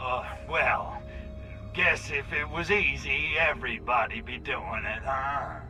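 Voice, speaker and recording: Putting on a character voice, a man speaks at a fairly slow pace over loud background music. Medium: game stream. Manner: brash, wisecracking.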